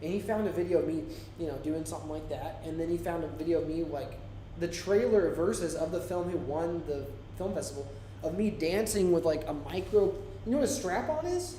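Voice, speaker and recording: In an American accent, the speaker talks at a fairly quick pace with an animated tone and ordinary pitch variation, over audible room echo and noticeable background noise. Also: man, high pitch for a man. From Florida. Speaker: indie filmmaker and English teacher, live stream co-host. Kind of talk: casual chat. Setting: live stream.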